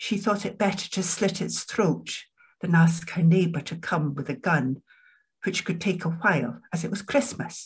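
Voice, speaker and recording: Against a quiet background, a woman with a Scottish accent speaks at a moderate pace in a somewhat breathy, fairly low voice with ordinary pitch variation. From Edinburgh, Scotland; Scotland. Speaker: poet and academic; poet. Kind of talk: poetry reading. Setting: video call. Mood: calm, reflective. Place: home room. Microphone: webcam.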